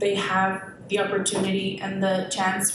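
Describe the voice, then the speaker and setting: Background noise and some room echo are both audible as a woman talks at a medium pitch. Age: 20s. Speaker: public commenter, school instructional aide. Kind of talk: public comment at a school board meeting. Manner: hesitant, many fillers.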